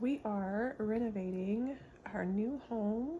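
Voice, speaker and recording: A soft-spoken woman, somewhat breathy. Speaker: beauty vlogger. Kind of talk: get-ready-with-me tutorial. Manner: casual.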